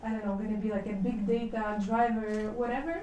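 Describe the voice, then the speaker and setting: Fairly high-pitched woman's voice amid noticeable background noise and audible room echo. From Ukraine. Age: 30s. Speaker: business school international development director. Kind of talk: lecture. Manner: casual, many fillers.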